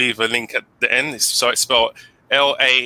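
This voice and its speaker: A man with a London accent, bright and sharp in tone, in a dry, close recording with no echo. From England, London. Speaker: English teacher. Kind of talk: casual interview chat.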